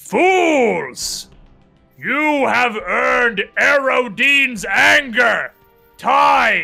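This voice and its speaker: A put-on character voice, fairly high in pitch, moves at a very slow pace over faint background music. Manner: angry, commanding.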